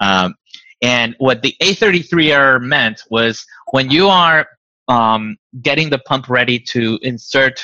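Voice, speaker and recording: In a Spanish accent, a man with a medium pitch and a bright, sharp tone speaks at a very slow pace with ordinary pitch variation, the sound dry and close with no echo. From Venezuela. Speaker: diabetes nonprofit founder. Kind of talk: interview. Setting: video call.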